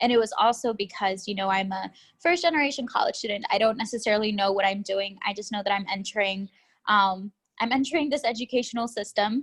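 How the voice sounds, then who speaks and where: Over a quiet background, a woman speaks very fast with a fairly high pitch and ordinary pitch variation. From Texas, Austin. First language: Spanish. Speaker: graduate student. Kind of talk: interview. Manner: casual, with many fillers.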